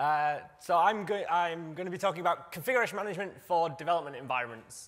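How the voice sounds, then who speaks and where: With a British accent, a man talks at a very fast pace and a high pitch. His pitch variation is ordinary, and audible room echo can be heard. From UK. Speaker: software developer, conference speaker. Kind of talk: conference talk. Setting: stage with audience. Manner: halting, many fillers.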